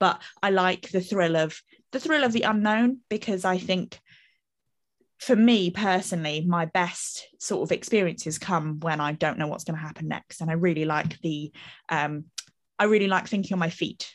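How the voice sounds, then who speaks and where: Her voice is a plain, everyday voice, fairly low in pitch, with ordinary pitch variation. The woman speaks at a moderate pace. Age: 30s. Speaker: marketing manager. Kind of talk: casual chat. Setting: video call with live audience.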